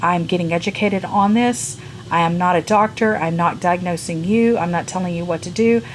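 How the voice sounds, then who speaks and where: Speaking at a fairly quick pace with an American accent and ordinary pitch variation, the voice comes through over noticeable background noise. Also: woman, fairly low pitch for a woman. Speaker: beauty and lifestyle vlogger. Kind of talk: personal health vlog. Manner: halting, with fillers.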